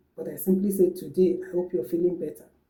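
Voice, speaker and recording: A woman with a medium pitch talks in a dark, mellow tone that is somewhat breathy. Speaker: language teacher. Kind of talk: tutorial.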